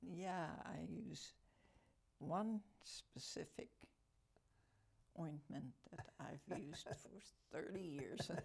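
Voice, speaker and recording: This woman's voice sits fairly low, with vocal fry and lively intonation. She speaks at a very slow pace, with long, frequent pauses. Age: 80s+. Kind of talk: interview answer.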